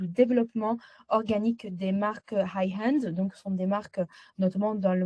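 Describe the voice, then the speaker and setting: A woman speaks fairly slowly in a dark, mellow, somewhat breathy voice with a slight Italian accent and monotone, flat intonation. The sound is dry and close with no echo. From Italy. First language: Italian (speaking French). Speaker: agency founder, client testimonial. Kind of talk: interview testimonial. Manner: halting, many hesitations.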